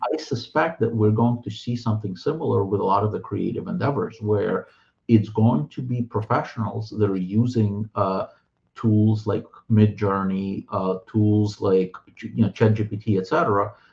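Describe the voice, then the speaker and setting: A man speaks with a Russian accent at a moderate pace, his pitch fairly low. His voice is somewhat breathy, with ordinary pitch variation. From Soviet Union (Russian/Ukrainian-speaking), moved to US around 1990. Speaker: author and translator. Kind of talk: interview conversation. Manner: hesitant, many fillers and repeated words.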